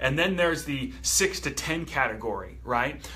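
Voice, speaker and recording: The speaker is a man. Audible echo from the room can be heard. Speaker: company trainer for coaches. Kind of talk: training presentation.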